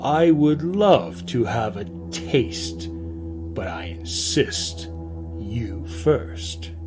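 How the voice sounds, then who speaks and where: Over loud music in the background, a man growls in a put-on character voice with a very deep, low pitch at a very slow pace. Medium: read story. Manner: growling.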